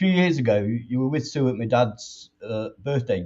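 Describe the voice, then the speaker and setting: A man at a moderate pace, medium in pitch, somewhat breathy, with very wide pitch swings. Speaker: fan channel host. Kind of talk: interview. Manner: rambling.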